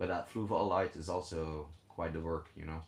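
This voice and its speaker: The man's voice is somewhat breathy. He keeps to a moderate pace. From Belgium (Flanders). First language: Dutch (Flemish). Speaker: fishkeeping live streamer. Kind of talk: casual live stream chat.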